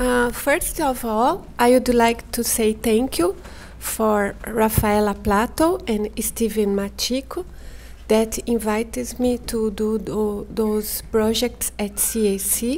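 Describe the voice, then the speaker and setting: A woman with a Brazilian Portuguese accent at a very slow pace. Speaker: artist. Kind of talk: artist talk.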